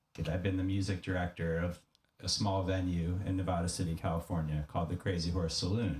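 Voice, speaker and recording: A man with a very deep, low pitch and a dark, mellow, somewhat breathy tone speaks at a fairly quick pace. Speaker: podcast host and music director. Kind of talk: reading aloud.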